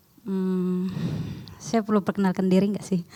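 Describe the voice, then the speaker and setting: A woman speaks at a moderate pace. She has a non-native accent. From outside Indonesia. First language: not Indonesian (speaking Indonesian). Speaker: seminar speaker, theology student. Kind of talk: seminar presentation.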